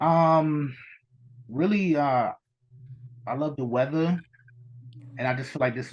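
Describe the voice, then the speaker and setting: With a New York accent, this man talks at a moderate pace. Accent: New York (Bronx). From New York City (the Bronx). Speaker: independent artist and creator. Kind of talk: casual interview chat.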